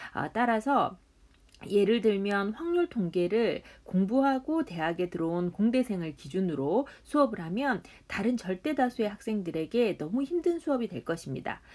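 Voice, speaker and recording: At a moderate pace, a woman with a medium pitch makes very wide pitch swings. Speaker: university statistics professor. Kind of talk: lecture. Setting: recorded online lecture.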